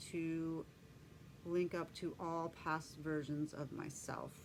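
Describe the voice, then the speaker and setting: Very slowly, a woman speaks with a fairly low pitch. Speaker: spiritual vlogger, shamanic journeyer. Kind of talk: personal testimony monologue. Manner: hesitant with fillers.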